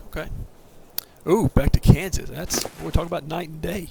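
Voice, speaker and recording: Against noticeable background noise, a man with a Southern US accent talks at a fairly quick pace with ordinary pitch variation. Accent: Southern accent, fairly strong. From US South, southern Middle Tennessee. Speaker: video game streamer. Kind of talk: casual gameplay commentary on a livestream.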